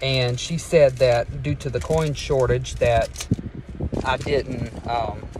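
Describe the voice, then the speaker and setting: The sound is dry with no echo, and noticeable background noise sits behind it. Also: man. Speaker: vlogger. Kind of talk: casual vlog chat. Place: car.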